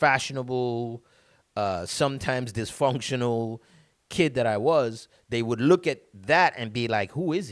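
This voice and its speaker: A man talks at a fairly slow pace with a Caribbean accent. His pitch varies in an ordinary way. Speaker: motivational speaker. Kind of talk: motivational talk. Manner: halting, many repetitions.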